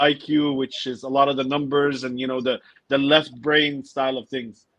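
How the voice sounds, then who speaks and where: An ordinary speaking voice from a man with an American accent, medium in pitch, at a moderate pace. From United States. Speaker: business coach and podcaster. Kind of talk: interview.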